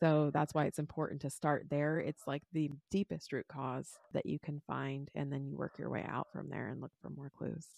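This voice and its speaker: With hardly any pauses, a woman speaks in a calm, soothing tone, the sound dry and close with no echo and the background quiet. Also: moderate pace. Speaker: holistic nutritionist and wellness coach. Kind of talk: interview conversation, telling personal story.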